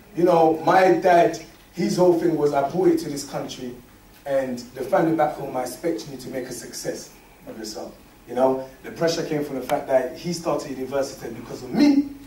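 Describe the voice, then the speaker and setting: Over noticeable background noise and audible room echo, a man talks at a fairly quick pace in a fairly high pitch. His pitch varies in an ordinary way while his loudness swings widely. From Congo, moved to UK at eight. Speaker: interview guest. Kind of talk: casual interview. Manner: animated, repetitive.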